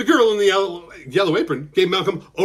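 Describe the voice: Simply plain reading aloud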